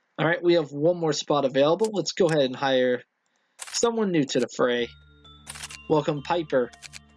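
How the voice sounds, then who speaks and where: Music plays in the background as a man speaks at a fairly high pitch with ordinary pitch variation. His pace is moderate, with long, frequent pauses and very even loudness. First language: not English. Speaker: video game let's player. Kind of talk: let's play commentary. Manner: casual, self-correcting.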